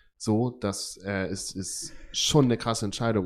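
On a very clean recording with a silent background, a man with a fairly low pitch and fairly even intonation speaks in a normal speaking voice. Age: 20s. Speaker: care worker and podcast co-host. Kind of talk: casual chat.

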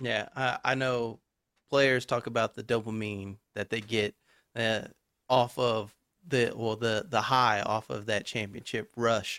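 With a bright, sharp tone, a man in an American accent speaks fairly slowly at medium pitch in a flat monotone, the sound dry and close with no echo on a very clean recording with a silent background. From Texas. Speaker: podcast host. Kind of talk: interview.

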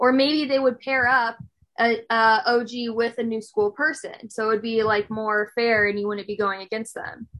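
Ordinary pitch variation runs through an unremarkable speaking voice that keeps a moderate pace. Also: woman, fairly high pitch for a woman. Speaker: podcast host. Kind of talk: casual interview chat.

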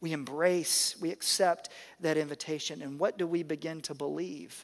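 A man with an American accent speaks at a moderate pace and a fairly high pitch. The recording is very clean and the background silent. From US South. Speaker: pastor. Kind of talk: sermon.

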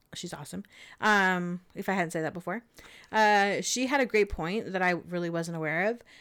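A woman speaks at a medium pitch with a Californian accent. The recording is very clean, with a silent background. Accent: Californian American. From Southern California. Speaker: podcast co-host. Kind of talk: casual chat storytelling.

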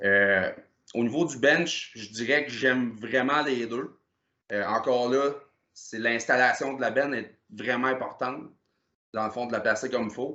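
A man's medium-pitched voice, fairly slow pace, fairly even intonation, and long, frequent pauses. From Quebec, Gaspésie (Percé area). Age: 30s. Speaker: powerlifter. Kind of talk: casual chat.

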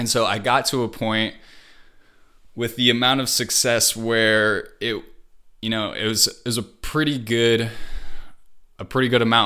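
On a very clean recording with a silent background, a man with an American accent speaks at a moderate pace and medium pitch in a bright, sharp tone. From Wisconsin. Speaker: video editor and YouTuber. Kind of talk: casual interview chat.

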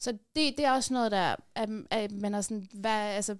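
A woman with a plain, everyday voice speaks at a fairly high pitch with fairly even intonation. The recording is very clean, with a silent background. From Afghanistan, raised in Denmark. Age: 30s. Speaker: activist and columnist. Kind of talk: casual interview. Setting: studio.

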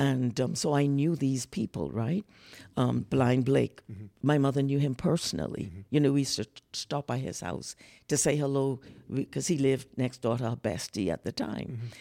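A woman with a Bahamian accent speaks at a moderate pace in a very deep, low voice with a dark, mellow tone, vocal fry and lively intonation, on a very clean recording with a silent background and a dry, close sound with no echo. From The Bahamas. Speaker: soprano singer, producer and guest. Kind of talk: casual interview conversation.

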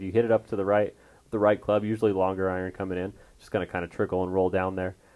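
Very fast speech with fairly even intonation against a quiet background. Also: man. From Colorado, suburb of Denver. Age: young. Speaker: golf teaching professional and podcast host. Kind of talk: casual chat. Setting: studio.

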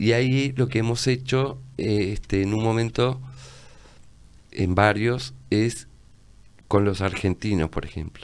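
Pausing long and often, a man talks at a fairly slow pace and a fairly low pitch with ordinary pitch variation. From Uruguay, Tacuarembó. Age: 60s. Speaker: visual artist and publisher. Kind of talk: casual interview chat.

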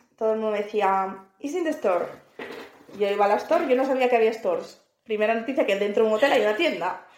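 With audible room echo around her, a woman speaks at a fairly high pitch with lively intonation. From northern Spain, Asturias. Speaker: podcast co-host. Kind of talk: casual chat.

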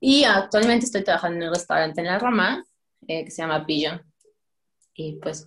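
This woman's voice is fairly low with lively intonation. She talks at a fairly quick pace. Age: 20s. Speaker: pastry chef. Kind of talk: casual chat.

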